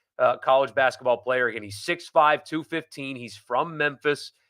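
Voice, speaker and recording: A man at medium pitch with a bright, sharp tone, fairly even intonation and moderate pace, in a very clean recording with a silent background. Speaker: sports podcast host. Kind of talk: live sports talk show.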